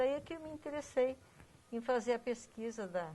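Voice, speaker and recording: Her pitch is high for a woman, her tone dark and mellow. This woman keeps to a moderate pace. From Brazil, São Paulo state (Iperó). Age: 60s. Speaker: local family history researcher. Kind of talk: interview.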